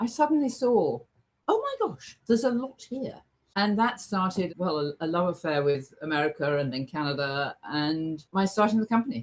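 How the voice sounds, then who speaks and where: A woman's animated, medium-pitched voice with an English accent, very wide pitch swings and a moderate pace. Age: 70s. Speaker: travel agent. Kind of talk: casual chat.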